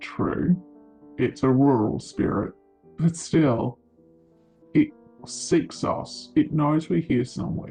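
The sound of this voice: A raspy, put-on character voice at a low-to-middle pitch speaks at a very slow pace, with faint music in the background.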